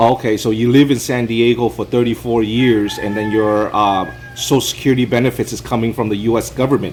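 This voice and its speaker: With music in the background, a man with an American accent speaks at a medium pitch and a fairly quick pace in monotone, flat intonation. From US West Coast, Los Angeles. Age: 40s. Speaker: vlogger interviewing a neighbor. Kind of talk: casual interview.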